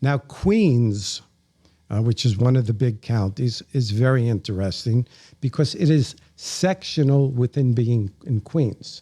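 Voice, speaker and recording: Somewhat breathy with a dark, mellow tone, a man in an American accent speaks at a medium pitch and a fairly slow pace with ordinary pitch variation, in a dry, close sound with no echo and a very clean recording with a silent background. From New York City, the Bronx. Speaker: podcast guest. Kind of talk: interview, casual chat.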